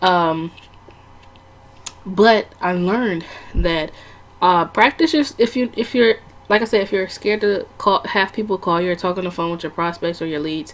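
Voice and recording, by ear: This woman has a fairly low pitch and ordinary pitch variation. She talks at a moderate pace.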